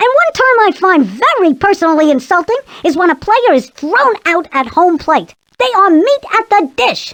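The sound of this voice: The speaker puts on a character voice at an extremely high pitch and a moderate pace.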